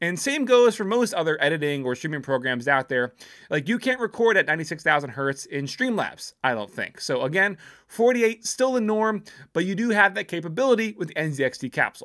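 A man's bright, sharp voice at a fairly quick pace, pitch swinging very widely, over a quiet background. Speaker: tech reviewer. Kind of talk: product review talk. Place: home room. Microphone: studio mic.

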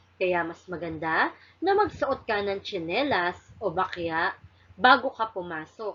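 A woman speaks at a very slow pace. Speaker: elementary school teacher. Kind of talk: recorded lesson for children. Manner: slow and clear, addressing children.

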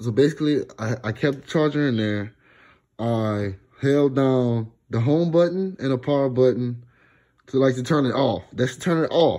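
Quiet background, a man's moderate pace, ordinary pitch variation. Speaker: vlogger. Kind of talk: tutorial. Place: home room. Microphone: phone near.

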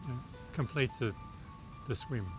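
Lively intonation marks this man's speech. Clear music plays behind him, and the sound is dry with no echo. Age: 70s. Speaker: cochlear implant recipient. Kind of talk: interview answer. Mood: warm, enthusiastic. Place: garden.

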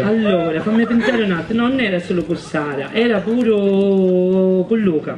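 Long, frequent pauses break up the speech over noticeable background noise. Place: stage. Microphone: handheld.

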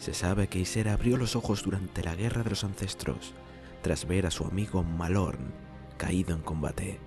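A man with a very deep, low pitch speaks at a fairly slow pace. His intonation is lively, with music in the background. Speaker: narrator. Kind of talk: game lore narration.

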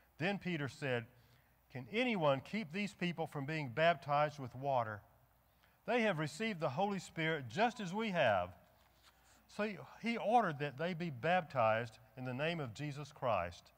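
A man talks at a moderate pace and fairly high pitch. His pitch swings very widely, with long, frequent pauses. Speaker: church pastor leading service. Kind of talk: church service announcements and liturgy. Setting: church. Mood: solemn, reverent. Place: church.

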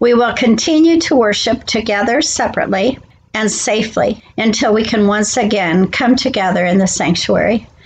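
A woman speaks at a moderate pace with ordinary pitch variation and a somewhat breathy voice over light background noise. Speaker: pastor. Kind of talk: church announcements. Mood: calm and warm. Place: home room. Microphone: webcam.

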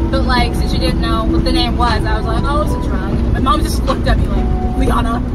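Over loud background noise, a woman talks at a fairly quick pace. She hardly pauses at all. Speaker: driver vlogger. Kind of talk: casual vlog chat. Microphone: phone near.

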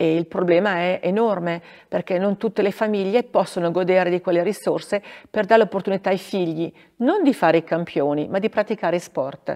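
At a fairly quick pace, the speaker talks in a dark, mellow tone over a quiet background. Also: woman, medium pitch for a woman, ordinary pitch variation. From northern Italy, Bergamo area; northern Italy. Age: 50s. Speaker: former ski racer and regional politician; regional politician. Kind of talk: interview. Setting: theatre. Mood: calm, warm, reflective. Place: stage.

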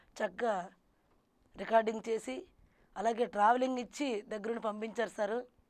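Here is a woman with an ordinary speaking voice. Her pitch is fairly high and her intonation fairly even. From Srikakulam district, north coastal Andhra Pradesh; Andhra Pradesh. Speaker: burrakatha folk performer; interview guest, folk storyteller. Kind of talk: interview. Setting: studio. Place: studio. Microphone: lapel.

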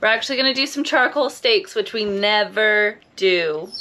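Fairly high and bright, sharp in tone, a woman's voice comes through. She talks at a fairly quick pace.

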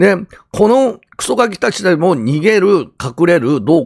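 A man's voice with vocal fry. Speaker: YouTuber and ex-convict commentator. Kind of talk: crime news commentary monologue. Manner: rambling, many filler words.

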